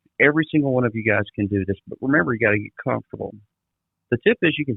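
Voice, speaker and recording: A man with a Mississippi accent talks at a very fast pace and medium pitch with lively intonation. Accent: Southern US (Mississippi). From US South, south Mississippi. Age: 40s. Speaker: trade industry trainer. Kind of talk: podcast interview. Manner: animated.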